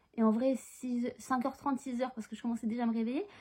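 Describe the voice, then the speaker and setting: Her voice has a fairly high pitch and a dark, mellow tone. The woman speaks at a very fast pace. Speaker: book vlogger and author. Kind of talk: casual vlog. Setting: at home, in bed. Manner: soft-spoken, bird sleeping; animated, swearing, rushed.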